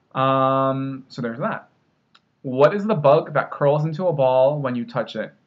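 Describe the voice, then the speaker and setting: Speaking in a normal speaking voice with an American accent, a man keeps a fairly slow pace, a fairly high pitch and ordinary pitch variation. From Northeastern US (Rhode Island, New Jersey). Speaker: linguist. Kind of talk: casual talk to camera.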